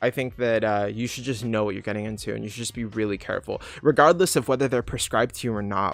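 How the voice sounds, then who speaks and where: A man speaks very fast at a medium pitch with ordinary pitch variation, on a very clean recording with a silent background. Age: 30s. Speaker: youtuber answering viewer questions. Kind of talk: livestream Q&A. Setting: livestream from home. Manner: casual, filler-heavy. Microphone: laptop setup, unsure of sound.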